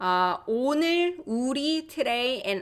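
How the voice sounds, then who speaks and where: Lively intonation from a woman with a Korean accent. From South Korea. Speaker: language teacher. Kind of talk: live online language class. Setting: livestream.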